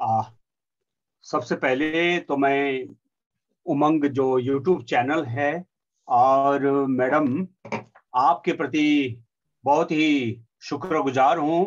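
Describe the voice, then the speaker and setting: A man with a Nepali accent speaks at fairly high pitch. His intonation is fairly even, broken by long, frequent pauses. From Sikkim, India. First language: Nepali (speaking Hindi). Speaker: poet and translator. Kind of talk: formal speech. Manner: halting, with fillers.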